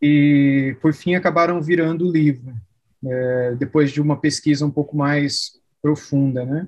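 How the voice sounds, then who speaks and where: At a fairly slow pace, a man speaks in a normal speaking voice, fairly high in pitch with fairly even intonation. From Brazil, São Paulo state (Araraquara). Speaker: pastor and seminary professor. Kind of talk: interview conversation.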